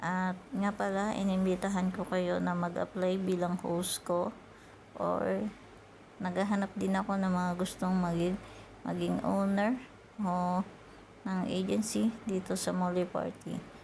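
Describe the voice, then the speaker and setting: Soft-spoken and somewhat breathy, a woman talks at a fairly slow pace in a medium pitch, with monotone, flat intonation and very even loudness. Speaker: YouTuber teaching earning apps. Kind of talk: tutorial.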